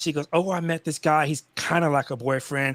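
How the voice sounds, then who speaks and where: Recorded very cleanly against a silent background, a man speaks at a fairly quick pace in an animated tone, the sound dry and close with no echo. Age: 50s. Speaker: live stream guest. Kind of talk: casual chat.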